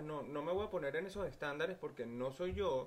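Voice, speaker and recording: A man speaks with a Venezuelan accent, his pitch fairly high and its variation ordinary. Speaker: podcast guest. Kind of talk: casual chat.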